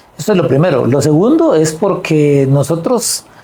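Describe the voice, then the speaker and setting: Through noticeable background noise comes a man's fairly high voice. He talks at a fairly slow pace with lively intonation. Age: 60s. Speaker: political party leader. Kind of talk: interview.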